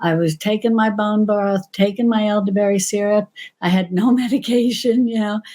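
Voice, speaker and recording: A woman with an American accent speaks at a moderate pace in a dark, mellow, somewhat breathy tone. Her pitch is fairly high, with fairly even intonation and very even loudness. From New York. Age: 60s. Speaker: cooking channel creator. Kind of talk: casual interview chat.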